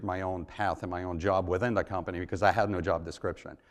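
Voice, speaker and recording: A man talks at a very fast pace. His pitch is very deep and low, and his intonation is monotone and flat. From Africa, Asia and Europe (born in Israel). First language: not English (English is third language). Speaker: entrepreneur. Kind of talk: startup pitch and Q&A at a live event.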